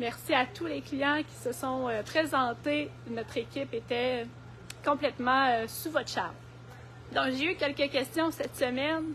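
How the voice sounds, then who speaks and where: In a Quebec accent, a woman speaks at a fairly slow pace. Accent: Québécois French. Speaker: garden centre horticulturist. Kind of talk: live stream product presentation and gardening tips. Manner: hesitant, many fillers.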